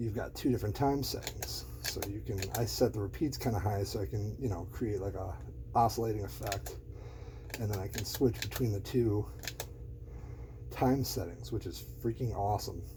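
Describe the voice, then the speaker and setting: A soft-spoken man's fairly low voice with very wide pitch swings, against noticeable background noise. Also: moderate pace. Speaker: guitarist and gear enthusiast. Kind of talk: casual ASMR-style gear walkthrough to camera.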